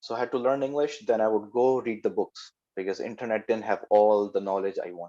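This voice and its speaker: A man's dark, mellow tone at medium pitch, fairly quick in pace, with a non-native accent. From Pakistan. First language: not English. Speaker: software developer. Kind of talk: talk to youth. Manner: halting.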